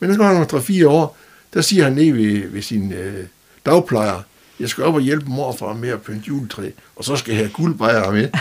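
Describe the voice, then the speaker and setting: Heard over noticeable background noise, a man with a fairly high pitch makes very wide pitch swings. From Denmark, North Jutland (Skagen/Vendsyssel). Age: 70s. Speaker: retired telecom worker and local personality. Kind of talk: interview. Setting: studio. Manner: halting, with many fillers and repetitions.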